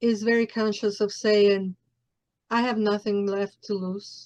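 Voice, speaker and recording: A woman in a Mexican accent, fairly high in pitch, at a fairly slow pace with monotone, flat intonation. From Mexico City. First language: Spanish. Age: 40s. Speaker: podcast host. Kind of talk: interview.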